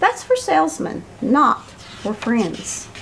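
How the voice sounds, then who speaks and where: A put-on character voice from a woman, high-pitched and very slow, with clear background noise. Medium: read story. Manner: gruff, blustering.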